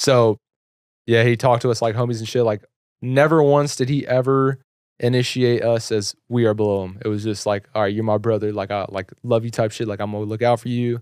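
A normal speaking voice from a man at medium pitch, fairly quick, with fairly even intonation. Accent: American. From Texas, Carrollton. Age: 20s. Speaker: clothing entrepreneur and YouTuber. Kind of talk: casual chat. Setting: studio.

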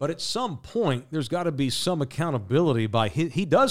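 A man's animated, fairly high voice at a fairly quick pace, on a very clean recording with a silent background. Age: 40s. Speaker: sports pundit. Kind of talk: casual chat.

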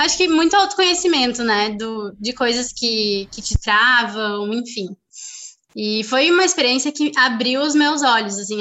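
Her voice is high-pitched for a woman, moving at a fairly slow pace with lively intonation. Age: 20s. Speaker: engineering student and family business member. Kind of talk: interview.

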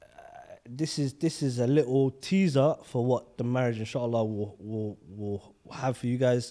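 On a very clean recording with a silent background, a man of medium pitch speaks fairly slowly with a dark, mellow tone and ordinary pitch variation. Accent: London. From London. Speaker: podcast co-host. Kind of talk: casual chat.

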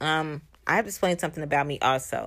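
A woman speaks fairly quickly with a very deep, low pitch. Her intonation is lively and her tone animated. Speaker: motivational podcast host. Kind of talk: motivational monologue.

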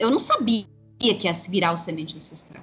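A woman's pitch rises and falls very widely. She talks at a moderate speed. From São Paulo city, east side periphery. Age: 40s. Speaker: witch and tarot reader, teacher. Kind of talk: interview conversation.

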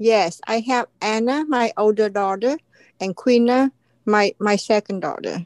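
A woman with a Vietnamese accent speaks at a fairly high pitch and a fairly slow pace, with ordinary pitch variation. The sound is dry and close, with no echo. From Vietnam (Saigon). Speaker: author. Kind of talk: interview testimony. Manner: halting.

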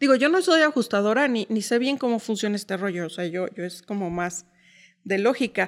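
With an unremarkable speaking voice, a woman talks at a fairly quick pace with lively intonation and a fairly high pitch, on a very clean recording with a silent background. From Mexico City. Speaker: insurance sales entrepreneur. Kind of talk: interview.

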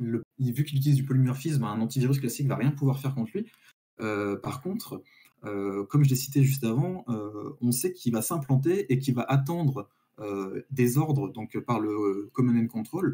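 With a dark, mellow tone, a man's somewhat breathy voice comes through. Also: medium pitch for a man, ordinary pitch variation, moderate pace. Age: 20s. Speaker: IT student and work-study apprentice. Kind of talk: live-streamed tech discussion. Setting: live stream.

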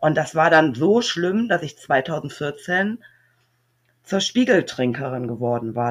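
A woman speaks with a very deep, low pitch. She goes at a very slow pace, her pitch swinging very widely. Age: 40s. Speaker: recovering alcoholic, single mother of four. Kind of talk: personal testimony interview.

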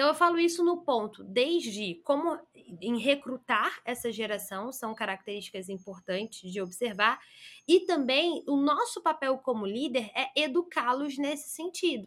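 Speaking at a fairly slow pace, a woman with a high pitch makes very wide pitch swings in a very clean recording with a silent background. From Brazil, Rio de Janeiro. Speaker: career consultant and headhunter. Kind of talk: interview.

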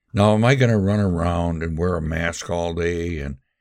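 A man's very deep, low pitch with ordinary pitch variation at a moderate pace, in a very clean recording with a silent background. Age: 80s+. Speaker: podcast host. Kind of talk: solo monologue commentary. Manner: halting, many filler words.

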